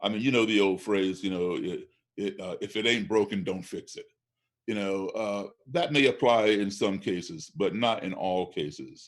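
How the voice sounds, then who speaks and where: In a normal speaking voice with an American accent, the speaker keeps a moderate pace and ordinary pitch variation. The background is silent, and the recording is very clean. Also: man, fairly low pitch for a man. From US, Chicago-born. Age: 60s. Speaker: race relations activist and blues musician. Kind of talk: podcast interview.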